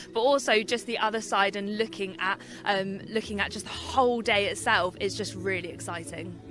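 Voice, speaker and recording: Clear music plays in the background as a woman speaks with fairly even intonation in a dry sound with no echo. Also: moderate pace. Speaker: guest. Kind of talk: interview answer. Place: open country. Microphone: handheld.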